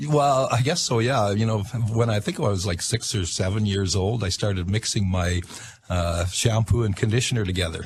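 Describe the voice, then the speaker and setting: Against noticeable background noise, a man with a fairly low pitch talks at a moderate pace, with very even loudness and ordinary pitch variation. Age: 60s. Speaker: inventor and self-taught astrologer. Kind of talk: radio interview. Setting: radio studio. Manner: halting, many fillers.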